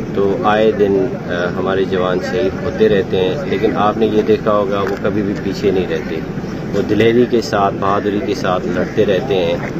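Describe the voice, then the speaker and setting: Loud background noise surrounds a man speaking at a fairly slow pace, the sound itself dry with no echo. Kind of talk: press statement / interview answer. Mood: solemn, resolute. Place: open country.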